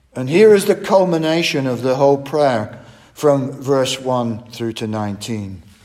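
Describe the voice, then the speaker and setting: A medium-pitched man with lively intonation at a fairly slow pace, amid noticeable background noise. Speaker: Bible teacher. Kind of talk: sermon-style Bible study. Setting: church. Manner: formal.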